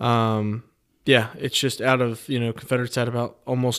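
A man speaks in an unremarkable speaking voice at medium pitch. His pace is moderate. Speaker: podcast host. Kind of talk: casual chat about history and bourbon.

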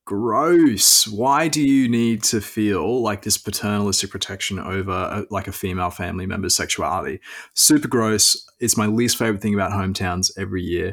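A man with an Australian accent talks at a moderate pace with hardly any pauses, his pitch fairly low and its variation ordinary. The recording is very clean, with a silent background. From Queensland, Australia. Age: 20s. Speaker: property journalist. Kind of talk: casual chat.

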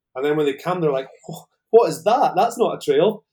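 At a very fast pace, a man with a fairly high pitch talks in a dark, mellow tone with ordinary pitch variation. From northern Scotland. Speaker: mountain bike guide and business owner. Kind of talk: casual interview chat. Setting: online video call.

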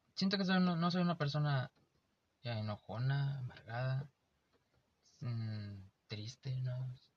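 With a somewhat breathy voice, a man speaks at a fairly slow pace, his intonation lively and his pauses long and frequent. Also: medium pitch for a man. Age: 20s. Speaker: podcast co-host. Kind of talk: casual chat.

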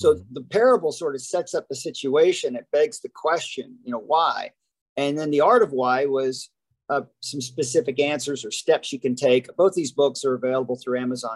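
A man with an American accent and an unremarkable speaking voice, fairly high in pitch, with ordinary pitch variation, at a moderate pace. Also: dry, close sound with no echo. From US South, Huntsville, Alabama. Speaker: keynote speaker and author. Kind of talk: podcast interview.

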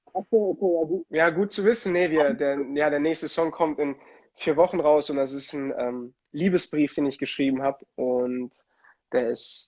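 He has a plain, everyday voice and talks at a moderate pace. His fairly high pitch shows ordinary pitch variation. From Germany, Italian family. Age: 20s. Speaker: ice hockey player and musician. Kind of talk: casual interview. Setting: Instagram livestream.

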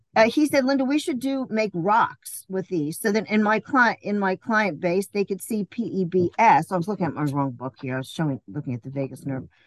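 A woman's medium-pitched voice with an American accent, fairly quick with hardly any pauses, and very wide pitch swings. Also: dry, close sound with no echo. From New York, Queens. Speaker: massage therapist and former jockey. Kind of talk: interview.

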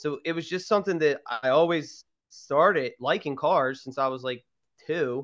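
A man speaks with a Philadelphia accent at a moderate pace. His pitch is fairly high with ordinary variation, and the background is quiet. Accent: Philadelphia-area American. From Pennsylvania, Garnet Valley. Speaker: podcast co-host. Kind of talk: casual chat.

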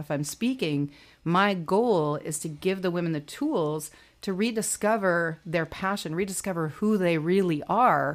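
This woman has a fairly low pitch, ordinary pitch variation and a moderate pace. It's an ordinary speaking voice in a very clean recording with a silent background. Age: 40s. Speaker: plus-size model and entrepreneur. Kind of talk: interview.

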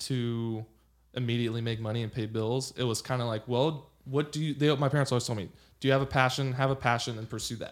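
On a very clean recording with a silent background, a man with a Californian accent talks at a medium pitch and a fairly quick pace. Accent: Californian American. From Los Angeles, California. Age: 30s. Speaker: lawyer and former baseball player. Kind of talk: casual chat. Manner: animated.

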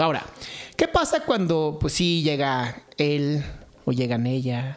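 The voice comes in a Mexican accent over noticeable background noise. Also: man. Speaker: podcast co-host. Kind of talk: casual chat.

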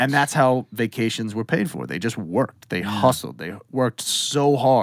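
Here a man with an American accent speaks in a normal speaking voice at a moderate pace. His pitch is medium and rises and falls in an ordinary way. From Western Massachusetts. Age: 30s. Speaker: music producer and engineer. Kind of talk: casual chat.

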